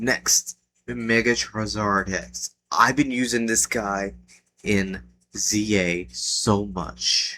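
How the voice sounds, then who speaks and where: Quiet and at a very slow pace, a man speaks. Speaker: gaming youtuber. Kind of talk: casual commentary. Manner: quiet, kept down; hesitant, with fillers.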